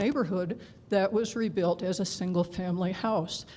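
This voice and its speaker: Over noticeable background noise and audible room echo, a woman at medium pitch talks at a moderate pace with ordinary pitch variation. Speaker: public commenter at city council. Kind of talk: public comment at council meeting. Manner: hesitant, with pauses.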